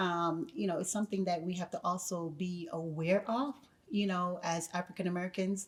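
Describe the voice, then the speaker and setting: This woman has a slight Jamaican accent and sounds somewhat breathy. Her pitch varies in an ordinary way. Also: medium pitch for a woman, moderate pace. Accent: Jamaican accent regained, slight. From Jamaica, then the Bronx from teens. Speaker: educator. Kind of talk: podcast interview. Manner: hesitant, many fillers.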